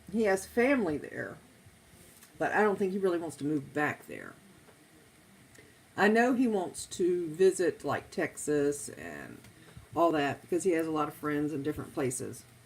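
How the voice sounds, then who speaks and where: A woman's fairly low voice with an American accent, at a moderate pace with long, frequent pauses. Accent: flat-sounding, by her own account. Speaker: live streamer. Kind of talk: casual chat.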